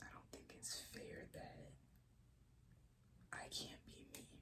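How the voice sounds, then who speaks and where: Whispering at a very slow pace. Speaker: ASMR creator. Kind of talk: ASMR whispered talk to camera. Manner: soft whispered.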